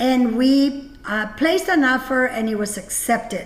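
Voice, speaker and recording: This woman's voice is high-pitched, with ordinary pitch variation and a fairly slow pace. Background noise is noticeable. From Mexico (Jalisco), raised from childhood in Napa Valley, California. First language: Spanish. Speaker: winery owner and event host. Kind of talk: personal testimony at a virtual gala. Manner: halting, many fillers.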